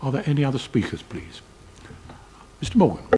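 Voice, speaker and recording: Noticeable background noise is present. A man rattles along at a very fast pace. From South East London. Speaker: committee chair, local councillor. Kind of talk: council committee meeting.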